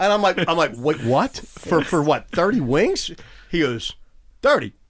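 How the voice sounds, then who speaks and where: On a very clean recording with a silent background, a man with a Pittsburgh accent talks fairly slowly in an animated tone, his high pitch swinging very widely while his loudness stays very even. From Pittsburgh, US. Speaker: touring and stage professional. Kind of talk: casual chat. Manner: animated, repeats words.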